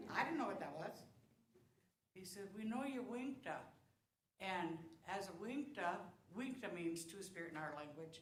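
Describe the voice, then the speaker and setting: In a room with audible echo, a woman with a medium pitch and a somewhat breathy voice speaks at a moderate pace with lively intonation and long, frequent pauses. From South Dakota. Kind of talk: talk to congregation. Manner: casual, conversational.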